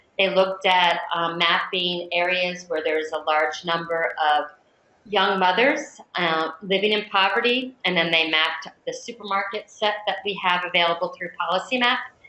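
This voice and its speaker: A woman with a normal speaking voice talks at a medium pitch and moderate pace, with ordinary pitch variation. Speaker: software trainer. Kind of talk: software demo webinar.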